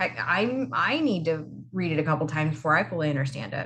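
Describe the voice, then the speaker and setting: Loud woman's voice with vocal fry and very wide pitch swings, plus audible room echo. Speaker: college instructor. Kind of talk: video lecture.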